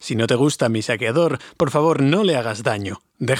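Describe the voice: The background is quiet. The delivery is plain reading aloud.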